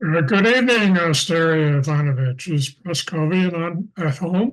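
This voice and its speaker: A man speaks in a put-on character voice, high-pitched for a man, with ordinary pitch variation. His pace is moderate and his loudness very even. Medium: stage play. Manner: jovial, hesitant.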